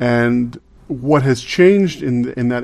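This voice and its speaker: A man speaks at a medium pitch with ordinary pitch variation in an unremarkable speaking voice. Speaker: podcast co-host. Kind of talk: interview.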